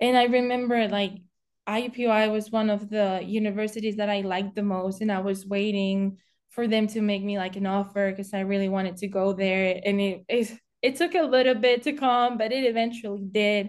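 A woman with a Spanish accent and a medium pitch speaks at a moderate pace with fairly even intonation over a quiet background. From Spain. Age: 20s. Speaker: college golfer. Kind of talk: podcast interview.

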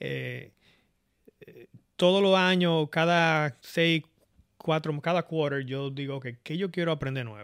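A man speaks at a very slow pace, with long, frequent pauses. His pitch is fairly high with ordinary variation, on a very clean recording with a silent background. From Dominican Republic, Santo Domingo area. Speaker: software engineer. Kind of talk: casual interview.

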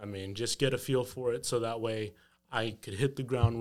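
A man with an American accent talks at a medium pitch. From Texas. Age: 20s. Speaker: real estate investor. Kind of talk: casual chat.

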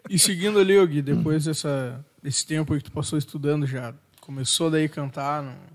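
A normal speaking voice with ordinary pitch variation, big swings in loudness and a moderate pace. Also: man, fairly high pitch for a man. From southern Brazil. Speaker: podcast co-host. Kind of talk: casual chat. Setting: studio.

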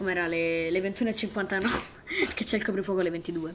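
At a medium pitch and moderate pace, a woman speaks over noticeable background noise. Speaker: amateur podcast host. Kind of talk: casual chat. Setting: bedroom. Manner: animated.

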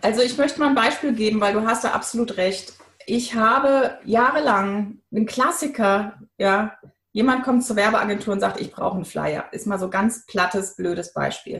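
This is a woman in a normal speaking voice, fairly high in pitch. She keeps a moderate pace with ordinary pitch variation. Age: 40s. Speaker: brand coach. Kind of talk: interview.

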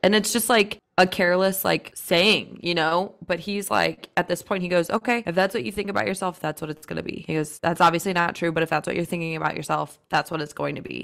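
A woman with a fairly low pitch and vocal fry talks very fast with hardly any pauses. Her pitch varies an ordinary amount. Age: 20s. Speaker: podcast co-host. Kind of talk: casual chat.

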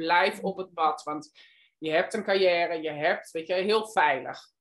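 This woman has a fairly low pitch. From Netherlands. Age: 50s. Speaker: guesthouse owner. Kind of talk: interview. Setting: video call.

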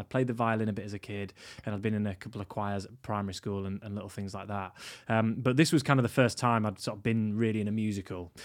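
With a Yorkshire accent, a man speaks at a very fast pace in a fairly low voice with ordinary pitch variation, on a very clean recording with a silent background. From northern England, York. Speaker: stage actor and teacher. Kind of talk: casual interview. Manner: hesitant, many fillers.

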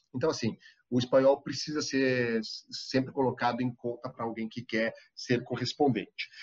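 A man speaks at a moderate pace in an ordinary speaking voice, medium in pitch, with fairly even intonation. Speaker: TV foreign correspondent. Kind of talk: interview.

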